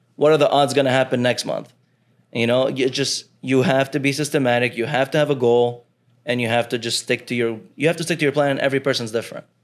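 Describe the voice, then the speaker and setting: On a very clean recording with a silent background, a man talks at a very fast pace with a medium pitch and fairly even intonation. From Lebanon. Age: 20s. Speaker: forex trader. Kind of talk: casual interview.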